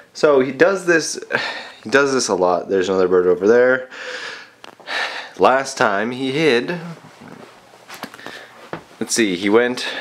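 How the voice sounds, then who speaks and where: Long, frequent pauses break up speech at a fairly slow pace. Noticeable background noise runs underneath. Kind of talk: casual talk while filming pet. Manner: heavy breathing, sniffles.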